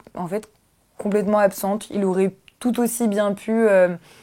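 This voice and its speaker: A woman speaking at a very slow pace. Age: 20s. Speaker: documentary interviewee, former philosophy student. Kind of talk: testimony. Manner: halting, many hesitations.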